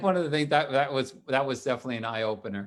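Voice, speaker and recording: The speaker uses a New York accent. The pace is very fast. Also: man. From New York, Staten Island. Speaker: retired police detective and tech entrepreneur. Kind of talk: casual chat. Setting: live online show.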